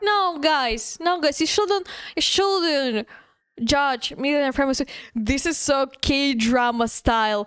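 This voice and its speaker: A woman with a non-native accent, a high pitch, lively intonation, very even loudness and a very slow pace. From Eastern Europe. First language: not English. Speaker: streamer. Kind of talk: casual chat. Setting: live stream.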